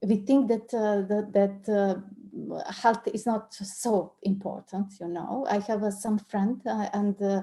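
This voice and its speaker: A woman with a Serbian accent speaks very slowly, with hardly any pauses, in a dark, mellow, somewhat breathy tone and monotone, flat intonation. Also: medium pitch for a woman. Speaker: coach and trainer. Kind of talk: online interview discussion. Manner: halting, many repetitions.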